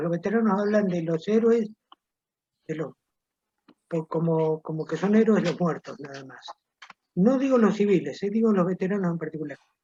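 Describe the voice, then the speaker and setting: Pausing long and often, a man speaks in a high pitch with ordinary pitch variation. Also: moderate pace, big swings in loudness. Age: 70s. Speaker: war veteran. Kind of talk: interview.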